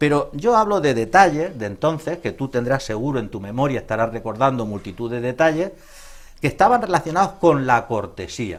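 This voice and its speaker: A man at medium pitch with very wide pitch swings and a fairly quick pace. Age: 60s. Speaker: psychologist. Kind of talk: interview.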